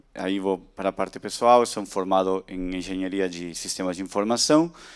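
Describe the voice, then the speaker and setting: Speaking fairly quickly with an Argentine accent, a man uses a fairly low pitch and fairly even intonation. The recording is very clean, with a silent background. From Argentina, Buenos Aires. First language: Spanish (speaking Portuguese). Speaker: tech industry speaker. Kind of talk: conference talk.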